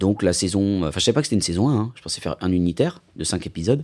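A dark, mellow tone in a very clean recording with a silent background. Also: man. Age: 40s. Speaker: actor and writer. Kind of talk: interview.

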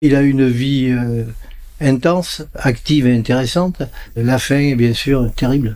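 A man's dark, mellow tone at a fairly slow pace, with very even loudness. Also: medium pitch for a man, fairly even intonation. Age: 70s. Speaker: son of a resistance hero, retired civil servant. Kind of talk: interview.

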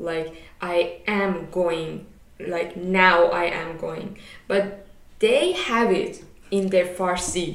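Very slow, monotone speech with flat intonation comes through noticeable background noise. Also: woman, medium pitch for a woman. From Iran. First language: Persian. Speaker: podcast co-host, master's student. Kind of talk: casual chat.

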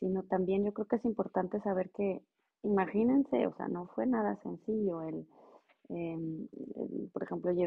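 At a fairly slow pace, a woman talks with an ordinary speaking voice at a fairly low pitch. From Mexico, Monterrey. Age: 40s. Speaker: regulatory affairs professional. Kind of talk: interview.

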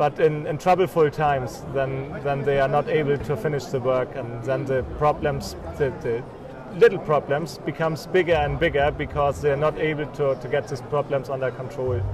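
With a German accent, a man talks at a moderate pace and a fairly high pitch. His pitch varies in an ordinary way, and there is noticeable background noise. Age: 40s. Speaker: crossbreeding genetics company owner, former dairy farmer. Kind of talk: interview. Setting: trade fair. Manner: halting.

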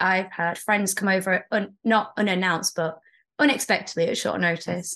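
Against a quiet background, a woman with a British accent speaks at a moderate pace. Her pitch is medium, with ordinary pitch variation. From England. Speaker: teacher. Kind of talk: casual chat.

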